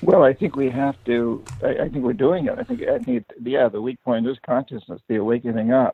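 This man has an unremarkable speaking voice with an American accent. He talks at a fairly quick pace with ordinary pitch variation. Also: medium pitch for a man. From New Hampshire, US. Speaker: author and activist. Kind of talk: interview.

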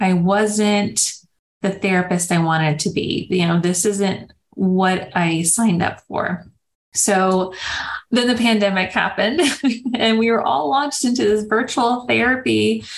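A woman with an unremarkable speaking voice talks at a fairly slow pace in a medium pitch, with ordinary pitch variation and very even loudness. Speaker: speech therapist. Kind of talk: interview.

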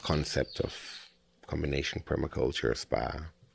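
The recording is very clean, with a silent background. A man with vocal fry talks at a fairly slow pace. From Spain, of German nationality. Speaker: eco-lodge owner and permaculture farmer. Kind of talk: interview.

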